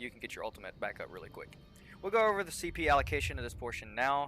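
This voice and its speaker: A man speaks with music playing in the background. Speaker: gaming video creator. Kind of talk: gameplay tutorial. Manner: fast.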